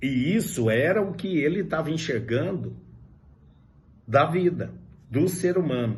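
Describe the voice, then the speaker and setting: The speaker talks at a fairly slow pace with lively intonation and vocal fry, leaving long, frequent pauses amid audible room echo. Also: man, fairly high pitch for a man. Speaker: high school philosophy teacher. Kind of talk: lecture.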